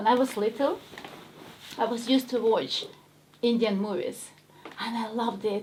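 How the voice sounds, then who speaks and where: With a strong Ukrainian accent, a woman speaks at a moderate pace in a fairly high voice with fairly even intonation and long, frequent pauses, over noticeable background noise. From Ukraine. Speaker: actress. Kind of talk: casual chat.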